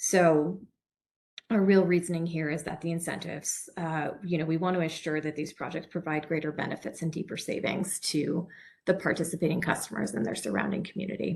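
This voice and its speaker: Somewhat breathy and fairly low in pitch, a woman speaks at a fairly quick pace with ordinary pitch variation. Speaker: program presenter. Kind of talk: webinar presentation. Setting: online webinar. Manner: fast.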